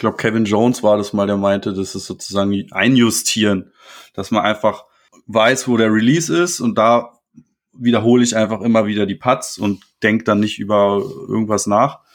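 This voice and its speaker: Intonation remains fairly even at a moderate pace. It is an ordinary speaking voice. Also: man. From Germany, Berlin-Potsdam area. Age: 20s. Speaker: disc golf player. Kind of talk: casual interview.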